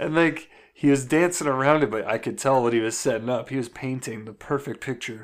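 On a very clean recording with a silent background, an unremarkable speaking voice proceeds at a moderate pace with ordinary pitch variation. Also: man. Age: 20s. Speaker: podcast co-host. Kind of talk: casual chat.

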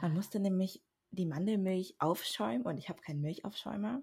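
A woman speaks in a somewhat breathy voice. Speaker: podcast co-host, university student. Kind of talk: casual chat. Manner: reserved, says little.

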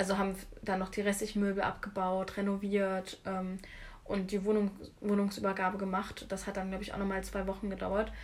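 Noticeable background noise sits behind a woman speaking at a fairly quick pace. Her medium-pitched voice has a monotone, flat intonation. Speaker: art student. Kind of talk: casual chat.

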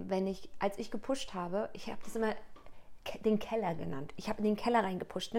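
A woman talks at a fairly quick pace with a fairly high pitch. Noticeable background noise sits behind her. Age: 30s. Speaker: coach and author. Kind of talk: casual interview.

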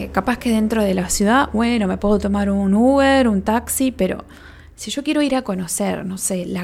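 A somewhat breathy woman's voice with a Uruguayan accent, medium pitch, ordinary pitch variation and a moderate pace, in a very clean recording with a silent background. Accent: Rioplatense Spanish (Uruguayan). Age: 30s. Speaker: podcast host, spiritual therapist. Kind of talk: casual solo podcast talk.

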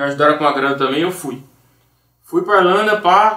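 With ordinary pitch variation, a man speaks fairly high and at a moderate speed. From Brazil, Campinas (São Paulo state). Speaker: music producer. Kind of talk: casual chat.

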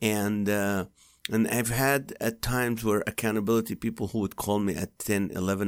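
Recorded very cleanly over a silent background, a man with a non-native accent and fairly low pitch speaks at a fairly quick pace. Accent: foreign-accented English. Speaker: comedian and podcast host. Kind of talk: interview. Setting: studio.

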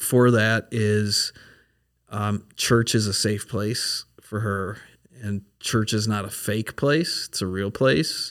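A man with an American accent speaks at a very slow pace in a medium pitch with ordinary pitch variation, in a very clean recording with a silent background. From Minnesota. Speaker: pastor. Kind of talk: casual chat.

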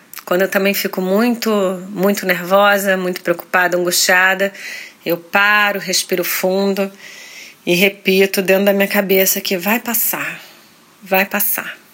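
A woman speaks at a fairly slow pace in a monotone, flat intonation, with long, frequent pauses. Noticeable background noise sits behind her. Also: medium pitch for a woman. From Rio de Janeiro, Brazil. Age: 40s. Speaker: actress. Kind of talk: interview. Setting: hotel room.

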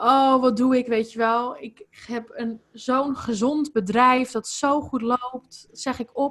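Her voice high in pitch with ordinary variation, a woman speaks at a very slow pace with hardly any pauses. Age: 20s. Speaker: holistic life coach. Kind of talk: podcast interview.

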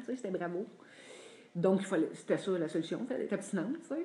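A woman's dark, mellow, somewhat breathy voice with lively intonation. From Quebec, Drummondville. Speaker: support group member sharing. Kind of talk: testimony.

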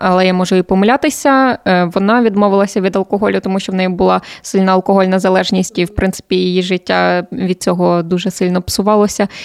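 In a dry, close sound with no echo, a woman at a medium pitch talks at a very fast pace with fairly even intonation. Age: 20s. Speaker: journalist and TV presenter. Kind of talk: casual chat.

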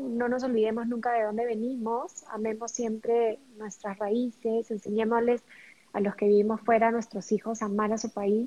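Speaking at a fairly slow pace, a woman has a fairly high pitch and a normal speaking voice. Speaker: podcast co-host. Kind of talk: casual chat.

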